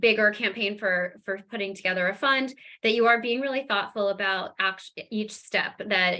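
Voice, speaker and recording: The tone is bright and sharp. A woman speaks at a fairly high pitch. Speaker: fundraising presenter. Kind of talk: webinar presentation. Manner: fast.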